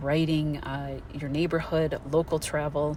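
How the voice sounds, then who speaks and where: A woman speaks with a very deep, low pitch and monotone, flat intonation. Noticeable background noise is present. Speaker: astrologer. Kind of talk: monologue. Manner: fast.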